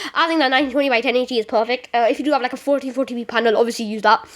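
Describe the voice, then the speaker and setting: A woman talks in a high voice against noticeable background noise. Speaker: gaming tutorial youtuber. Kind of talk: tutorial. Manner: fast; halting, many fillers.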